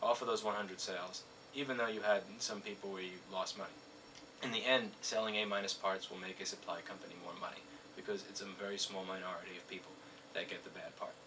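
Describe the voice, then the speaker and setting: Through noticeable background noise, a man with a fairly low pitch talks at a very fast pace and fairly even intonation. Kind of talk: explanatory business commentary. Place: office.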